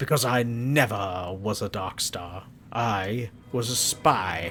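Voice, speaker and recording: Using a put-on character voice at a medium pitch, a man speaks fairly slowly with ordinary pitch variation over clear background noise. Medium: game stream. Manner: prissy, mild old-fashioned insults.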